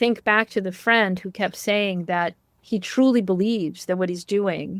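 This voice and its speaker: In a dry, close sound with no echo, a woman with an unremarkable speaking voice talks at a moderate pace and medium pitch with fairly even intonation. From Canada. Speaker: journalist and author. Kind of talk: interview.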